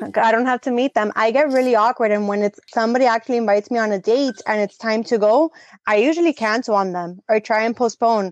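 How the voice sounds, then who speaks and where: A woman with a plain, everyday voice speaks at a fairly quick pace and a fairly high pitch, with ordinary pitch variation, in a dry, close sound with no echo over a quiet background. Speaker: podcast co-host. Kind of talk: casual chat.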